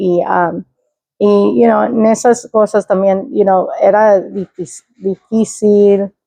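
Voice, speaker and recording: A woman talks very slowly, her voice sitting at a medium pitch. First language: English (speaking Spanish). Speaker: interview guest, state employee. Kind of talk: personal story interview. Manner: halting, many fillers and code-switching.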